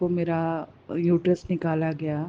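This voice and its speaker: A soft-spoken woman, fairly low in pitch, with monotone, flat intonation. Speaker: devotee sharing testimony. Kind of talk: testimony. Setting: hospital.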